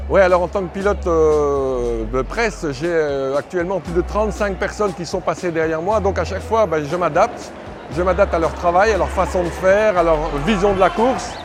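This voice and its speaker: A man speaks at a moderate pace amid audible room echo and noticeable background noise. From Belgium. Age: 50s. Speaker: press motorcycle rider, former pro cyclist. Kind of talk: interview.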